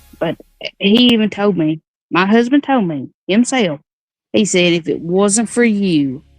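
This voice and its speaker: With music playing in the background, a woman talks at a fairly slow pace using lively intonation. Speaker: caller, stay-at-home mom. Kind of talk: casual live chat.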